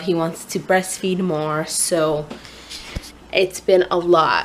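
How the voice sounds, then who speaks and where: Medium-pitched woman's voice over noticeable background noise. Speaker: vlogger and new mother. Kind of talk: casual vlog. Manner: hesitant, many fillers.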